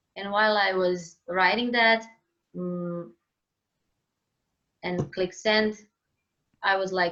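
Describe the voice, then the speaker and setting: Speaking very slowly with a Croatian accent, a woman uses a medium pitch and ordinary pitch variation. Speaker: singer-songwriter. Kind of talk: interview conversation. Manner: halting, searching for words.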